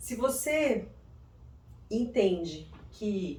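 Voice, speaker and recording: A woman is speaking. Room echo can be heard. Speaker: psychoanalyst and self-development youtuber. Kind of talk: video monologue. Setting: room without air conditioning.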